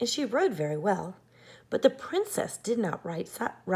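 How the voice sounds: The clip features a natural reading voice.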